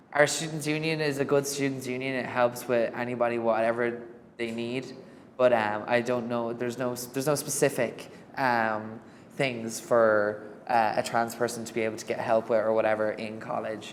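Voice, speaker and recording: Someone with an Irish accent speaks at a moderate pace. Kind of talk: documentary interview.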